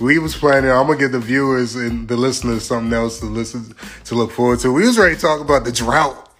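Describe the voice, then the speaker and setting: Over music in the background, a man talks at a very fast pace in an animated tone. His pitch sits in the medium range. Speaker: podcast host. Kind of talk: casual chat.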